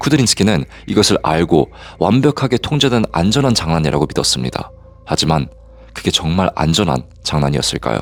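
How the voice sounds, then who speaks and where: Noticeable background noise sits under a man's very deep, low voice as he talks at a fairly quick pace with very wide pitch swings and very even loudness. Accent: slight non-native. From Korea, moved to Canada at age 8. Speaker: private investigator and storyteller. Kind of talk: true-crime story narration.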